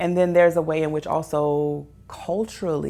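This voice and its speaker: At a fairly slow pace, a woman speaks in an American accent on a very clean recording with a silent background. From US South. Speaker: social scientist. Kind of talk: interview talk on research. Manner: hesitant, many fillers.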